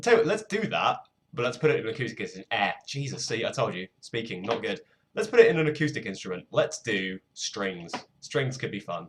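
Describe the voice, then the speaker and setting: This man speaks fairly quickly in a fairly high voice, with vocal fry and very wide pitch swings. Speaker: music producer livestreamer. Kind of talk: casual livestream chat. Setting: livestream at desk. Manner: mellow, low energy.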